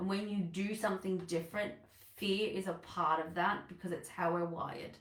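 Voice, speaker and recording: Someone with an Australian accent speaks at a moderate pace with ordinary pitch variation, and room echo is audible. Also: woman. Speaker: business coach. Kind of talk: live online masterclass talk. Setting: livestream.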